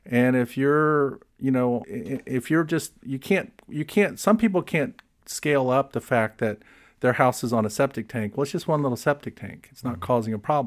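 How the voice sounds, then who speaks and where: A man's normal speaking voice, medium in pitch, with an American accent, lively intonation and a moderate pace, on a very clean recording with a silent background. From Florida. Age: 60s. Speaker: environmental policy expert. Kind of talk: interview conversation.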